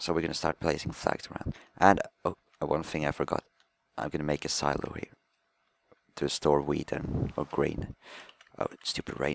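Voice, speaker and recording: A man's very deep, low voice at a moderate pace, with fairly even intonation, long and frequent pauses, and a dry, close sound with no echo. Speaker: gaming commentator. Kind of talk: gameplay commentary. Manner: halting, self-correcting. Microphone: microphone faulty, bad commentary audio.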